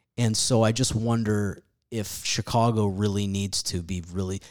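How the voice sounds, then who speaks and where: A man with a fairly low pitch uses a normal speaking voice at a moderate pace and fairly even intonation on a very clean recording with a silent background. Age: 40s. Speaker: stand-up comedian. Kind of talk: casual chat.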